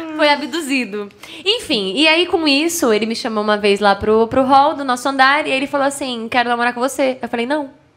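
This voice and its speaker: A woman talks at a fairly quick pace in a high, animated voice over noticeable background noise. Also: ordinary pitch variation. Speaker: TV presenter of product ads. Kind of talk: casual chat. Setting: studio.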